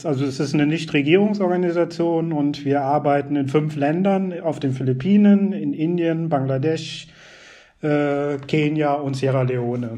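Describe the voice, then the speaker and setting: Audible room echo surrounds a man speaking at a fairly slow pace. His fairly high pitch shows ordinary variation. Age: 30s. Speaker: NGO project officer. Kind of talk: interview.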